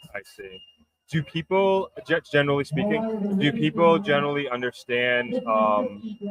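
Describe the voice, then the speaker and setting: Speaking in a New York accent at a fairly slow pace, the voice makes very wide pitch swings and big swings in loudness. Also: man, fairly high pitch for a man. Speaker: podcast host. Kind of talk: interview.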